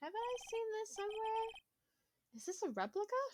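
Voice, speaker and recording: Squeaking in a put-on character voice, a woman pitches her speech extremely high. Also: moderate pace. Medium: game stream.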